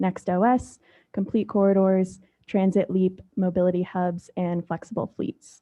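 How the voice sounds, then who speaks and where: A soft-spoken woman with a medium pitch and fairly even intonation. She talks at a moderate pace. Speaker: transit agency staff planner. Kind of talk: staff presentation at board meeting. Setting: public board meeting.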